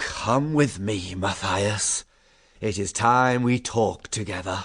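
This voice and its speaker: Against a quiet background, a man growls in a put-on character voice with a fairly low pitch at a fairly slow pace. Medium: read story. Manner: slow, gentle, dignified.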